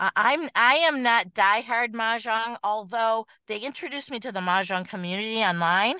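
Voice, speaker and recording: With a Michigan accent, a woman speaks at a moderate pace with hardly any pauses, her pitch fairly high and her tone bright and sharp, with ordinary pitch variation. The sound is dry and close with no echo, and the background is quiet. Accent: Midwestern US (Michigan). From Michigan, Detroit area. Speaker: schoolteacher. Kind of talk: casual chat. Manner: animated.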